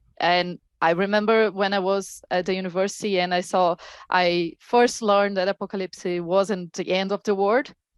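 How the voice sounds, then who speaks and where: A woman speaks at a moderate pace in a medium pitch with a Portuguese accent. The recording is very clean with a silent background and a dry, close sound with no echo. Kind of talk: panel discussion.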